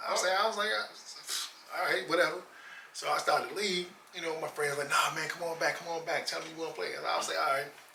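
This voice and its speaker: Very fast but broken by long, frequent pauses, a high-pitched man with an American accent talks over noticeable background noise and audible room echo. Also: ordinary pitch variation. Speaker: former basketball player. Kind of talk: casual interview. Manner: quiet, reserved.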